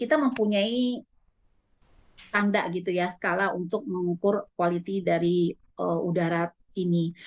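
Ordinary pitch variation marks this woman's voice. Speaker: lung specialist doctor. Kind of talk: health talk presentation. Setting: video call. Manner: fast. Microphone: video call.

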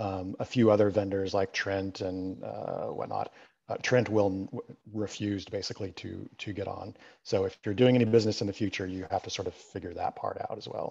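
Speaking at a fairly quick pace against a quiet background, a man shows big swings in loudness. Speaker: library staff. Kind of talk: panel discussion.

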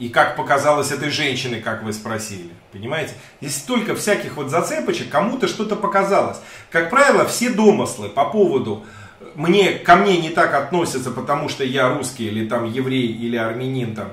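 Room echo is audible as a man with fairly high pitch swings very widely in pitch. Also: moderate pace. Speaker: YouTube streamer interviewing a guest; interview guest. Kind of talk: live stream conversation. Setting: studio. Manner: animated. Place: home room. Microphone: webcam.

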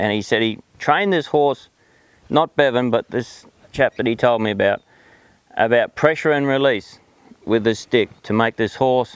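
Here a man speaks with a strong Australian accent and ordinary pitch variation at a moderate pace. The sound is dry with no echo, and the background is quiet. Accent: broad Australian. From South Australia, outback. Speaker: horse trainer. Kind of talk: personal monologue; personal story told to camera. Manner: hesitant, many fillers. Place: farm.

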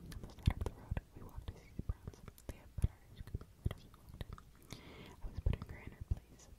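A very fast whisper over noticeable background noise. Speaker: ASMR creator. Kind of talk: sleep story reading. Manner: whispered.

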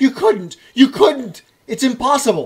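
High pitch and a fairly slow pace in a put-on character voice. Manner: panicked, pleading.

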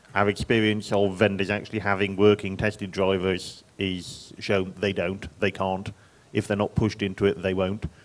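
In an English accent, a man speaks at a fairly low pitch and a moderate pace. His intonation is flat and monotone on a very clean recording with a silent background. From England. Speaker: software engineer on a panel. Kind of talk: conference panel discussion.

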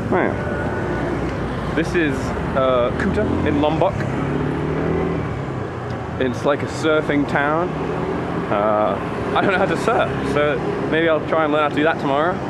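Loud background noise surrounds a man talking at a fairly slow pace with long, frequent pauses. His pitch varies in an ordinary way. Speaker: travel vlogger. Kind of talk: casual vlog chat. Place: street. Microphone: phone near.

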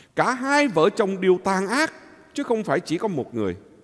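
With a quiet background, a man speaks at a fairly slow pace in a high voice. His pitch swings very widely. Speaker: priest. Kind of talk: homily. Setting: church. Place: church.

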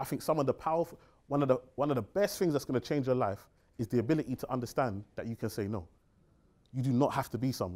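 Speaking very fast with a London accent, a man uses lively intonation and an animated tone at a medium pitch. The background is quiet. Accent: London English (multicultural London). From East London, England (Tower Hamlets). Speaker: financial advisor and seminar speaker; speaker. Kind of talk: seminar talk. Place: meeting room.

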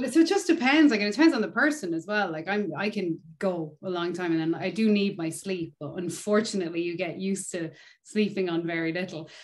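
A woman in an Irish accent, fairly quick with hardly any pauses and lively intonation, over a quiet background. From Ireland. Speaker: touring bass player. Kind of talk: casual interview chat. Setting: video call. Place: home room. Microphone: video call.

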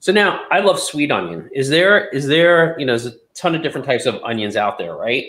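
A man with a fairly high pitch speaks at a fairly quick pace with hardly any pauses, lively intonation, and vocal fry. His tone is bright and sharp, and the room echo is audible. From Memphis, Tennessee; Tennessee. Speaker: podcast co-host. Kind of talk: casual chat. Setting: video call. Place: kitchen.

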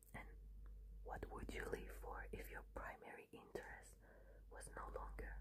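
Loud background noise surrounds a woman who talks at a fairly slow pace. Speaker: ASMR creator. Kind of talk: ASMR soft-spoken questions. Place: home room. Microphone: phone near.

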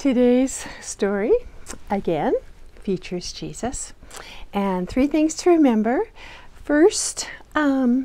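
A woman's high-pitched, dark, mellow voice, very slow and full of long, frequent pauses, with very wide pitch swings. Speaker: children's Bible storyteller. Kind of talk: storytelling to children. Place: home room.

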